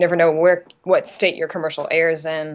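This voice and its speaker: The speaker is a woman with a Southern US accent. Her pitch sits fairly low. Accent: Southern US (Georgia). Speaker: model and actress. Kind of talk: interview answer. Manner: casual, chatty.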